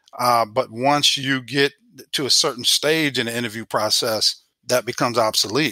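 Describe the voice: A man talks at a moderate pace in a medium pitch, his bright, sharp tone and fairly even intonation caught in a dry, close sound with no echo.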